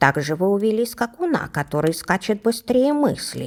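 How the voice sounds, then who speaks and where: Squeaky, female-sounding put-on character voice with very wide pitch swings. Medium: read story.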